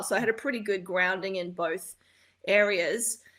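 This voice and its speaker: With an American accent, the speaker has a bright, sharp tone and fairly even intonation at a moderate pace, in a very clean recording with a silent background. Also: woman. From New York. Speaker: composer and arranger. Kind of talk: interview.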